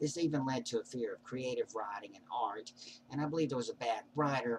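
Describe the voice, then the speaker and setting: A medium-pitched man at a fairly quick pace, with ordinary pitch variation and noticeable background noise. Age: 40s. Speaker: vlogger. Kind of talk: personal monologue. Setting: webcam recording. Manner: odd prosody.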